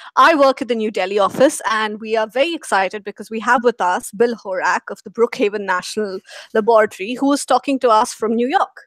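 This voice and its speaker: In an Indian accent, a woman with a fairly high voice talks very fast with hardly any pauses and ordinary pitch variation, in a dry, close sound with no echo. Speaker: program manager moderating a course Q&A. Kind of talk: live online Q&A moderation. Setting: live video broadcast.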